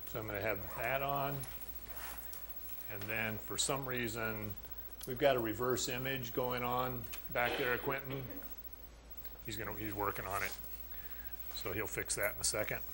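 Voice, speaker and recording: Audible room echo surrounds a man speaking at a moderate pace. He leaves long, frequent pauses. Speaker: college math instructor. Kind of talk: lecture. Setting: classroom with students.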